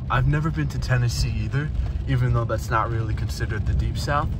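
There is noticeable noise in the background. A man talks over it. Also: dry sound with no echo. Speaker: travel vlogger. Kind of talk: casual vlog chat. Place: car.

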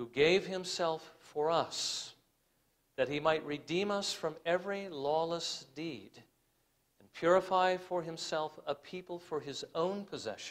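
This man has a high pitch and ordinary pitch variation. He talks at a fairly slow pace, with big swings in loudness. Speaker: preacher. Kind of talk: sermon.

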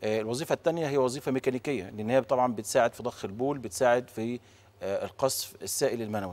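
Here a man talks at a fairly quick pace. His pitch variation is ordinary. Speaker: guest. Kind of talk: interview answer. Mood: calm explanatory. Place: studio. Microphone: lapel.

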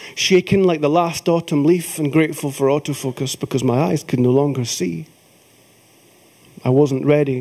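In a Scottish accent, a man with a fairly high pitch and a dark, mellow tone talks at a moderate pace over a quiet background, his pitch varying an ordinary amount. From Scotland. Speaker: folk singer and poet. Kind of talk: live poetry reading. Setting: theatre stage. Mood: emotional, reflective. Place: stage.

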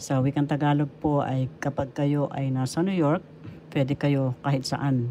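A woman with a very deep, low pitch speaks fairly slowly in a monotone, flat delivery with a dark, mellow tone. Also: very even loudness. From Philippines. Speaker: retired teacher and author. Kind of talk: religious talk. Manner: formal.

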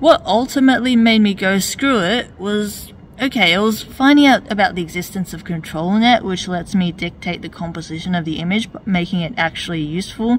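A woman's quick-paced, lively delivery with hardly any pauses, over light background noise. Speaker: webcomic artist and video commentator; webcomic artist, video commentator. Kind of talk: reaction and commentary video. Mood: calm, slightly wry. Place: street.

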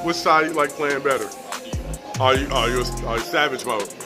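A man at a fairly quick pace with clear music in the background. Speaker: sports interviewer. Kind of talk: interview questions. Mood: upbeat, casual.

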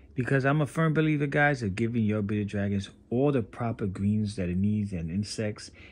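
A man with a fairly low pitch talks at a moderate pace, his pitch varying in an ordinary way. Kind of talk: casual pet vlog narration. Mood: upbeat, enthusiastic. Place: home room. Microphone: phone near.

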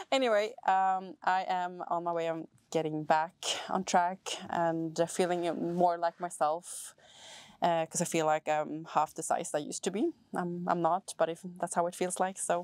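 With a Swedish accent, a woman speaks at a moderate pace in a fairly low, monotone, flat voice. The background is quiet, and the sound is dry, with no echo. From Sweden. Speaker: vlogger and fitness trainer; fitness vlogger. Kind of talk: vlog. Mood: relaxed, cheerful.

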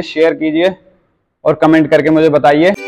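A high-pitched male voice with fairly even intonation. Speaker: fitness trainer. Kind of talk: tutorial. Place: gym.

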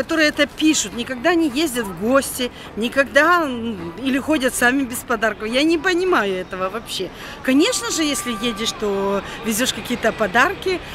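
A woman speaks at a moderate pace in a high voice with very wide pitch swings, the sound dry with no echo but with noticeable background noise. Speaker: travel vlogger. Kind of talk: casual vlog chat. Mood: chatty, slightly indignant. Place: street. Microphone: phone near.

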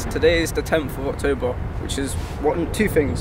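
A man at a moderate pace, with a dry sound, no echo, and loud background noise. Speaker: calisthenics creator. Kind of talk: casual vlog chat. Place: street.

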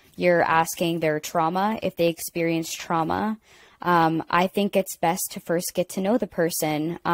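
A woman with an American accent, fairly low pitch and fairly even intonation, at a fairly slow pace, in a dry sound with no echo. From Pittsburgh, Pennsylvania. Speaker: singer-songwriter and actor; panelist. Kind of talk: live panel discussion. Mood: reflective, candid. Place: home room.

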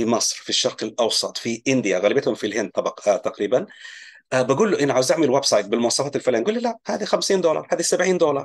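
A man at a very fast pace over a quiet background. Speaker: online business educator. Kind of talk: tutorial.

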